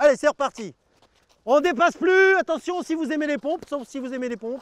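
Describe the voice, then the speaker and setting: Delivered at a fairly quick pace with ordinary pitch variation, the speech shows big swings in loudness and has a dry, close sound with no echo. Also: man, extremely high pitch for a man. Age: 50s. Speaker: martial arts instructor. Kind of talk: class instruction; interview monologue. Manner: loud commanding; halting, many hesitations.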